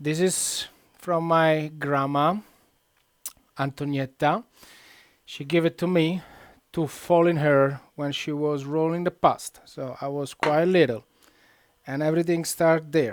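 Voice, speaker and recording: With an Italian accent, a man talks at a fairly slow pace in a fairly high pitch, leaving long, frequent pauses. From central Italy. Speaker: cook, cooking show host. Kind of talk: live cooking tutorial. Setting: kitchen, live stream. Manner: casual, animated.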